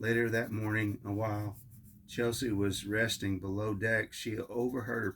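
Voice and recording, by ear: Reading aloud in a natural voice, the intonation fairly even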